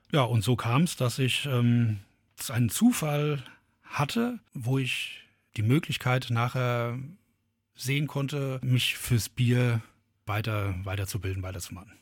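On a very clean recording with a silent background, a man with a medium pitch and ordinary pitch variation speaks very slowly, somewhat breathy, with long, frequent pauses. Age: 40s. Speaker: brewery founder and gardener. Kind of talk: interview.

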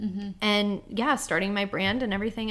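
A woman with a plain, everyday voice at a medium pitch, fairly even in intonation and fairly quick in pace, on a very clean recording with a silent background. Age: 20s. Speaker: army wife, teacher and stay-at-home mom. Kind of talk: casual chat.

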